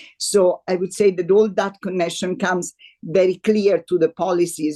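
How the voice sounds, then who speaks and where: A woman's dark, mellow voice, dry and close with no echo. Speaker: CEO of education organization. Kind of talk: interview answer.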